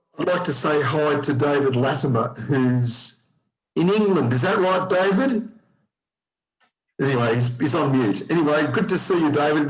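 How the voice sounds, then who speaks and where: A man with an Australian accent talks at a fairly high pitch. His intonation is lively and his loudness very even. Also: moderate pace. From Australia, Melbourne. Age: 60s. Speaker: person with haemophilia. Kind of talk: personal testimony. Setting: zoom video call.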